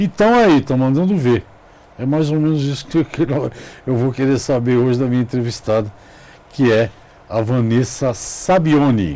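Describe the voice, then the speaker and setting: A man at a medium pitch with a slight São Paulo accent, moderate pace and long, frequent pauses over noticeable background noise. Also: ordinary pitch variation. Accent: São Paulo (paulistano), slight. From Brazil, São Paulo city. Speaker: TV interviewer. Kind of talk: interview. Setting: studio.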